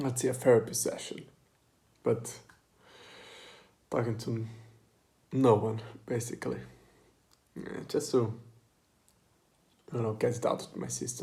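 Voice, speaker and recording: A man's voice sits at medium pitch, dark and mellow in tone with vocal fry. His intonation is fairly even, broken by long, frequent pauses. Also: moderate pace, big swings in loudness. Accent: non-native. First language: not English. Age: 20s. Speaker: vlogger. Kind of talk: personal monologue. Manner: halting.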